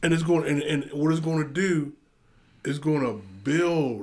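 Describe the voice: A man with a fairly high pitch and a slightly mellow tone talks at a fairly slow pace, using ordinary pitch variation.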